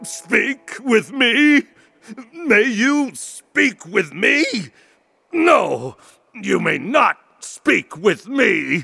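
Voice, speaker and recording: A man growls in a put-on character voice at a very slow pace. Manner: growling, menacing.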